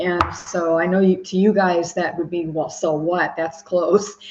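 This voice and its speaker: Against noticeable background noise, a woman with a fairly low voice speaks in a monotone, flat intonation. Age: 70s. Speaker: retired grandmother, panel guest. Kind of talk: casual chat.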